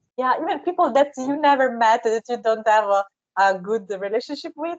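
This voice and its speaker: Lively intonation and a fairly quick pace mark this speech in an Italian accent. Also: woman, high pitch for a woman. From Southern Italy. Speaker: interviewee. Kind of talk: interview conversation. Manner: halting.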